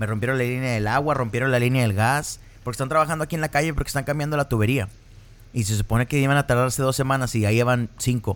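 A man talks at a very fast pace. His medium pitch stays fairly even in intonation. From northern Mexico (Piedras Negras, Coahuila). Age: 30s. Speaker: podcast host. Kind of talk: casual chat.

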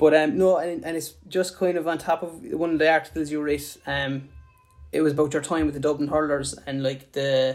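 Over music in the background, a man with a Limerick accent speaks at a fairly quick pace in a fairly high pitch, his intonation monotone and flat. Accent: Irish, Limerick. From Ireland, Limerick. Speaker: podcast host, sports illustrator. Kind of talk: casual interview; scripted intro.

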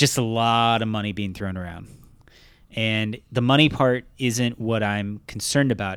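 Recorded very cleanly against a silent background, a man speaks at a medium pitch and moderate pace in an unremarkable speaking voice. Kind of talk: mock radio ad pitch, riffing on a jingle inside a casual comedy chat. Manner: deadpan, salesy jingle-style delivery with playful laughter.

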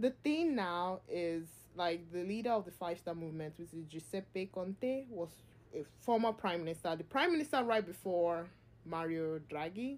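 Her intonation is lively and her pitch fairly low, at a moderate pace. This woman has a plain, everyday voice. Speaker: podcast host. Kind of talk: casual chat.

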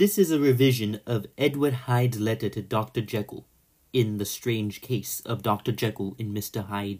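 A man's ordinary speaking voice at medium pitch with ordinary pitch variation, in a very clean recording with a silent background. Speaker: narrator reading a villain's letter in character. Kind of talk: dramatic narration of a sinister letter, theatrical villain reading. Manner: menacing, theatrical, slow and deliberate; formal, archaic-sounding, gravely intense.

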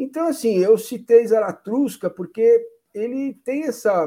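The man's voice sits high in pitch and has a dark, mellow tone. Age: 50s. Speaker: sports journalist and podcast host. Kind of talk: casual chat.

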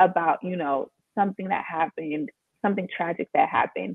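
A woman speaks at a fairly quick pace with ordinary pitch variation. Hers is an ordinary speaking voice. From Maryland, just outside Washington D.C., US. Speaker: copywriter and online sales strategist. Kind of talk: casual interview chat.

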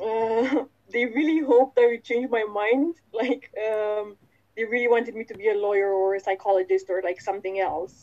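A woman with a plain, everyday voice speaks at a moderate pace and a fairly high pitch. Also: ordinary pitch variation. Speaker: actor. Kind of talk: interview and quiz game.

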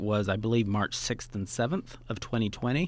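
Speaking in a plain, everyday voice with an American accent, the speaker keeps a moderate pace. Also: man. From Oklahoma. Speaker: film festival founder. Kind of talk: casual interview. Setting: studio.

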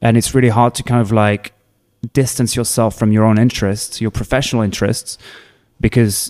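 A man with a French accent at a medium pitch and a very fast pace, on a very clean recording with a silent background. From France, Provence. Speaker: bartender. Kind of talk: casual chat.

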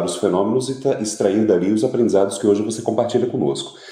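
A man speaks at a medium pitch. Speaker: show host. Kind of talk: panel discussion. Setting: online audio room. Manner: formal.

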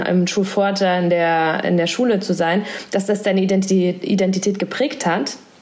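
A woman speaks at a very slow pace and a medium pitch, with fairly even intonation. Noticeable background noise and audible room echo fill the recording. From Thuringia, eastern Germany. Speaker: podcast host. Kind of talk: casual interview. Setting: at home, remote recording.

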